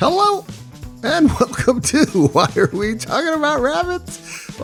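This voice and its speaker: Over clear background music, a man puts on a character voice with an extremely high pitch and very wide pitch swings, talking at a fairly slow pace. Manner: silly, put-on.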